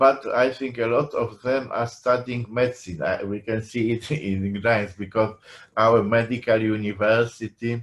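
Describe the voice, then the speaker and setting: A man speaks with a Polish accent. His delivery is very slow, with fairly even intonation. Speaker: professor. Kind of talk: lecture. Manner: halting.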